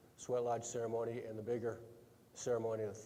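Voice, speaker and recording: This man talks at a fairly quick pace with an American accent and a medium pitch. Noticeable background noise runs beneath his voice. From Minnesota reservation, Ojibwe community. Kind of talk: panel introduction. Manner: halting, many fillers.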